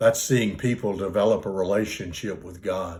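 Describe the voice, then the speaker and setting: A man speaks in a somewhat breathy voice. The recording is very clean, with a silent background. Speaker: retired pastor. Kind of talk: interview answer.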